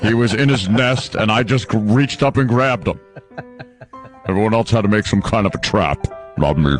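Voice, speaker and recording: Using a put-on character voice at a medium pitch, a man talks at a moderate pace over faint music in the background. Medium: comedy sketch. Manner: halting, full of uh and um fillers; earnest and plodding.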